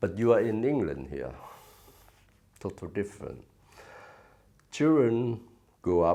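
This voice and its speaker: A man talks at a fairly slow pace. Vocal fry runs through his voice. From Vietnam. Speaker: former refugee charity director. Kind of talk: interview. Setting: office. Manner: halting, many fillers.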